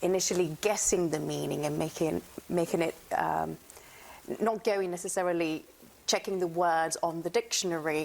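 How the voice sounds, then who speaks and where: The voice has vocal fry, fairly even intonation, very even loudness, and a moderate pace. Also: woman, fairly low pitch for a woman. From southern Italy, Naples. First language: Italian. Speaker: actress. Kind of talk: interview. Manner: halting, with many fillers and restarts.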